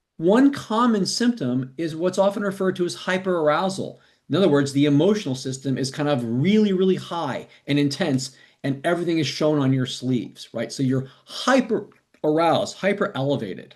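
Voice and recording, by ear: A man speaks at a moderate pace with lively intonation. His pitch is fairly high.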